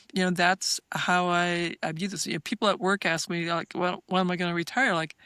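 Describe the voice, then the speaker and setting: Recorded very cleanly against a silent background, the speech runs at a fairly quick pace with hardly any pauses and fairly even intonation. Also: woman. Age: 60s. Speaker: physician and researcher. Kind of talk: podcast interview. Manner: halting, many fillers and repeats.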